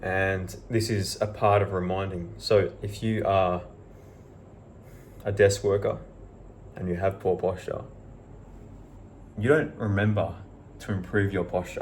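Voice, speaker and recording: In a room with audible echo, a man speaks fairly slowly at a fairly low pitch, somewhat breathy and fairly even in intonation, with long, frequent pauses. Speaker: self-help vlogger. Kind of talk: motivational monologue.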